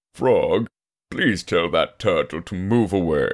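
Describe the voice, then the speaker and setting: A put-on character voice is used throughout. The delivery moves fairly slowly. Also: man. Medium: read story. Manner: deadpan, grumpy.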